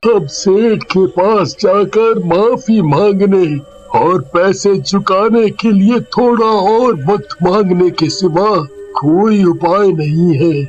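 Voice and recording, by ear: Over clear background noise, a man uses a cartoonish character voice pitched high and delivered at a very slow pace.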